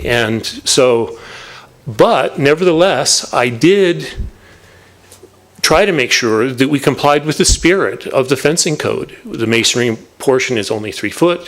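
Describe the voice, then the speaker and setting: Background noise is noticeable here. A man speaks with lively intonation at a fairly high pitch. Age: 60s. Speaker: property owner and lawyer addressing planning commission. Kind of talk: public comment at a government meeting. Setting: city planning commission meeting. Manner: halting with fillers.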